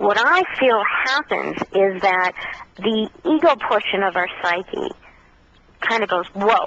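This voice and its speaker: A woman talks very slowly at a fairly high pitch, with lively intonation. Noticeable background noise can be heard. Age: 50s. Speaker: contactee speaking on extraterrestrial experiences. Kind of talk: radio interview.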